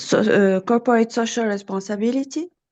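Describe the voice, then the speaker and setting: Ordinary pitch variation runs through a woman's dark, mellow tone. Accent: French. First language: French. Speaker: trainer of soft skills. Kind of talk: online Q&A session. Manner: halting, many fillers.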